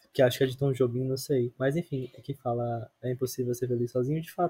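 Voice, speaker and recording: A man with a medium pitch and a dark, mellow tone speaks at a fairly quick pace, somewhat breathy, in a dry, close sound with no echo. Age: 20s. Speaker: architecture student, podcast guest. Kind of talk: casual chat.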